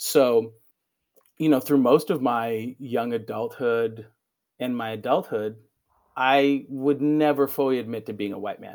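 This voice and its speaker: Through long, frequent pauses and big swings in loudness, a man with a General American accent talks fairly slowly at medium pitch with fairly even intonation on a very clean recording with a silent background. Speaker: teacher. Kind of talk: casual interview. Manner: conversational, hesitant, fillers.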